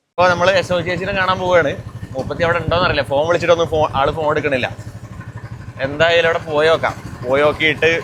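The man's voice sits fairly high, with fairly even intonation and very even loudness. There is noticeable background noise. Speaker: folk vlogger. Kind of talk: vlog narration. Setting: outdoors, on a bike.

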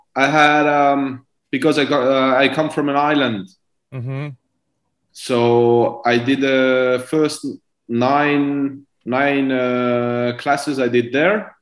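Over a quiet background with audible room echo, a man speaks at a very slow pace with fairly even intonation. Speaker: guest. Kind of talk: interview answer. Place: home room. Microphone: video call.

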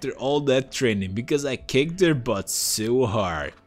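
Lively intonation, reading aloud in a natural voice.

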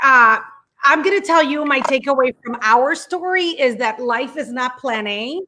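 A woman's raised, projected voice, high in pitch, bright and sharp, with an animated tone and lively intonation. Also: fairly slow pace. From Puerto Rico. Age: 40s. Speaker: TV journalist and online show host; TV journalist, online show host. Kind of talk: casual live-stream interview. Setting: video call live stream. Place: home room. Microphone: earbuds.

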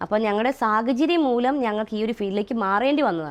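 Lively intonation runs through a normal speaking voice. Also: woman. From Kerala, Kottayam district, later Chalakudy area. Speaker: social media personality. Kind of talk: interview.

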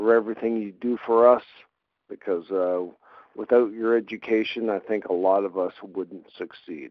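This man talks at a moderate pace with a Canadian accent, keeping a medium pitch and fairly even intonation. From Canada. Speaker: sports writer, viewer testimonial. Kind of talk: recorded video message. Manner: hesitant, many fillers.

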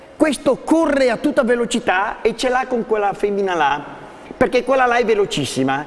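A man's lively intonation at a moderate pace. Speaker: dog trainer. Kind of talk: TV studio talk and dog training demonstration. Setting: TV studio. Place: studio.

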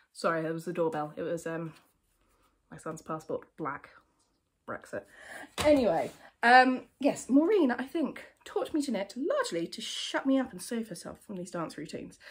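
A woman speaks with a southern English accent, somewhat breathy, with very wide pitch swings and big swings in loudness. She takes long, frequent pauses. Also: fairly high pitch for a woman, moderate pace. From England. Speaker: knitwear designer; knitwear designer podcaster. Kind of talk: casual chat. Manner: conversational, with fillers. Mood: chatty, humorous, nostalgic. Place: home room. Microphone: phone near.

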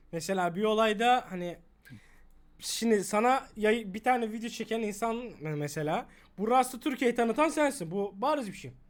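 A man speaks in a high pitch with lively intonation at a moderate pace. The recording is very clean, with a silent background. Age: young. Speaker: streamer. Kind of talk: casual live stream chat; sponsor mention.

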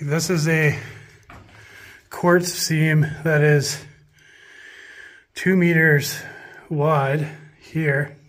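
A man speaks in a monotone, flat intonation over light background noise. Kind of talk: commentary. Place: tunnel cave. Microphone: phone near.

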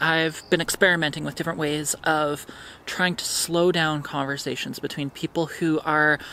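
Speech at a moderate pace comes through with a dry sound with no echo and light background noise. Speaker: vlogger. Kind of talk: casual vlog chat. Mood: thoughtful, reflective. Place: garden. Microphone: camera far.

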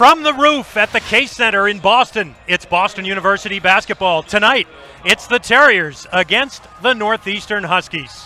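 A man projects a raised voice in a high pitch. His intonation is lively and his pace moderate. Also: dry sound with no echo. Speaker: play-by-play announcer. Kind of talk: live play-by-play sports commentary. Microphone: headset.

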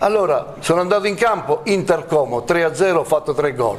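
Light background noise runs under the audio. A man talks at a moderate pace. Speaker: former footballer pundit. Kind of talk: heated studio debate. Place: studio.

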